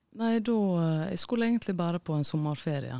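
A woman's dark, mellow voice with lively intonation at a fairly slow pace, dry and close with no echo, on a very clean recording with a silent background. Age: 30s. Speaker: musician. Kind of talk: interview.

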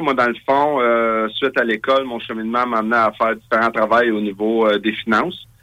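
A man talks fairly quickly with a bright, sharp tone. His pitch is medium and his intonation fairly even. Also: hardly any pauses. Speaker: political party leader. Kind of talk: interview.

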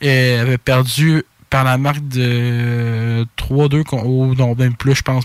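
Fairly even intonation and a Quebec accent come across in a dry, close sound with no echo. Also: man. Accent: Québécois French. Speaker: sports podcast co-host. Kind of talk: casual chat.

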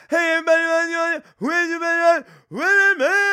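A man in a put-on character voice with extremely high pitch, at a moderate pace. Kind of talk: stage banter. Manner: rhythmic, hyped-up cadence.

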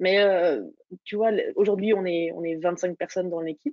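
This woman's voice sits at a medium pitch. She keeps a moderate pace and fairly even intonation. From Burgundy, France (Dijon). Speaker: startup founder. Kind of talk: interview.

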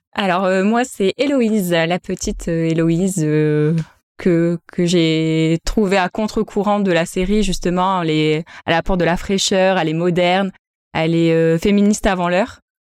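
On a very clean recording with a silent background and a dry, close sound with no echo, a woman with an unremarkable speaking voice and a fairly low pitch talks at a fairly slow pace, with fairly even intonation and very even loudness. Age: 30s. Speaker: primary school teacher. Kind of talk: casual chat.

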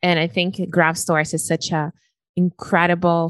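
A woman with a Brazilian accent speaks at a moderate pace and a fairly low pitch. The sound is dry and close, with no echo. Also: quiet background. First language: Portuguese. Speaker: podcast host, weight loss coach. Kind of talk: interview conversation. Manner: talkative.

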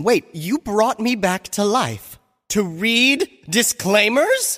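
A put-on character voice, female-sounding, with a fairly high pitch and a very slow pace

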